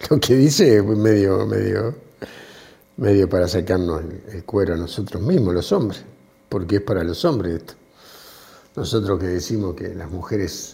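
A man's very deep, low voice at a moderate pace, with big swings in loudness and long, frequent pauses. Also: ordinary pitch variation. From Argentina, small town. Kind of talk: casual chat.

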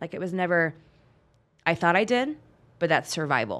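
Someone with a Western US accent is heard on a very clean recording with a silent background. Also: woman. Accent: General American, western US. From US West Coast, Bay Area of California. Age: 40s. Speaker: police officer. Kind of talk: casual interview chat.

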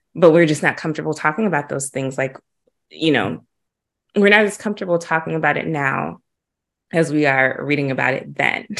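Speaking at a fairly quick clip yet with long, frequent pauses, a woman uses a very deep, low voice with vocal fry and ordinary pitch variation. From Huntsville, Alabama. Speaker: podcast host. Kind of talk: interview.

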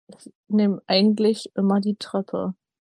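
The voice has a dark, mellow tone. The sound is dry and close, without echo. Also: woman. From northern Germany, Hamburg. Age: 20s. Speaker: podcast co-host, retail worker. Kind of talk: casual chat.

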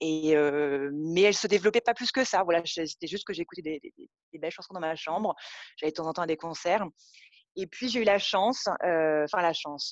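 In a normal speaking voice, a woman with a fairly low pitch talks at a moderate pace with ordinary pitch variation and big swings in loudness, the sound dry and close with no echo. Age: 30s. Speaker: yoga teacher and studio owner. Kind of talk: casual interview chat. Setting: phone call.

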